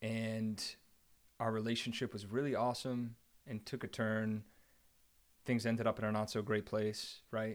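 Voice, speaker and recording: A man with an American accent talks at medium pitch and a moderate pace, in a monotone, flat way with long, frequent pauses. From New Jersey, Central Jersey. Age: 30s. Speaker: energy company executive. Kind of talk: casual chat.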